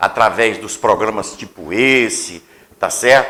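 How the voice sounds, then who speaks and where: Here a man speaks at a fairly slow pace. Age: 60s. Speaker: radio host, interviewer. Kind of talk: interview, political conversation.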